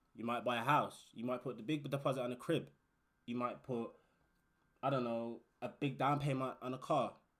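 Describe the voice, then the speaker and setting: This man speaks with a British accent at a moderate pace. His pitch sits in the middle range with ordinary variation. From UK. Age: 20s. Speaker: warehouse worker and YouTuber. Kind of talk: casual advice vlog. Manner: animated.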